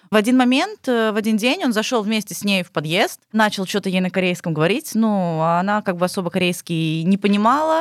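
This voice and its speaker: A woman with a plain, everyday voice speaks at a medium pitch and a fairly quick pace, with lively intonation and hardly any pauses. The recording is very clean with a silent background, and the sound is dry and close with no echo. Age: 20s. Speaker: former bar hostess in Asia. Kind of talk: casual chat.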